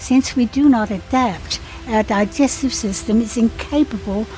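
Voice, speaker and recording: Over music in the background, a woman speaks at a fairly slow pace and a fairly high pitch with ordinary pitch variation. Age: 70s. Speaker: retired businesswoman. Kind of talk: informational narration.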